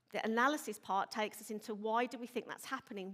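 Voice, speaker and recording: With a Birmingham accent, a woman talks very fast at a fairly high pitch. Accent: Birmingham (Brummie). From Birmingham, England. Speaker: police inspector, intelligence manager. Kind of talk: conference presentation. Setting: stage with audience.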